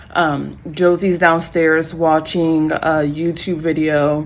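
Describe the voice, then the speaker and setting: Against noticeable background noise, a woman speaks in a very deep, low pitch with monotone, flat intonation. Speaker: vlogger, new mother. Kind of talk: casual vlog to camera. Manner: casual, many fillers.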